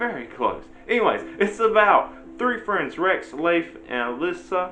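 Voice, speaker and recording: Over background music and audible room echo, a man with an American accent speaks fairly slowly at a high pitch, swinging very widely in pitch. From US South, Virginia small town. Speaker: book reviewer, YouTuber. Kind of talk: casual book review. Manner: casual, hesitant with fillers.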